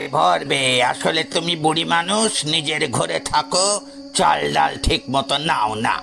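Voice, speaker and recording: A man puts on a character voice at a fairly high pitch, speaking fairly slowly over clear music in the background. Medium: read story. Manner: calm, reasoning.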